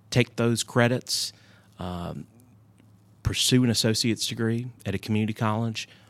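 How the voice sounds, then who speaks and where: In a very clean recording with a silent background, a man talks at a moderate pace and a fairly low pitch. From North Carolina (Southport coast and Hendersonville mountains). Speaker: community college system president. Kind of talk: interview.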